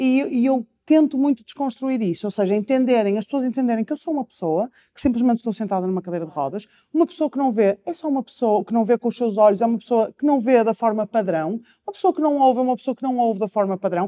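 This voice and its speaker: Speaking at a very fast pace, a woman has a fairly high pitch and a dark, mellow tone. Her sound is dry and close, with no echo. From Portugal, Porto. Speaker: nutritionist and public speaker. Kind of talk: interview testimony.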